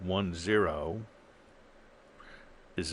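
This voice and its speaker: There is audible room echo as a man talks at a very slow pace with ordinary pitch variation. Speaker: professor. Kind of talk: lecture. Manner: halting, many fillers.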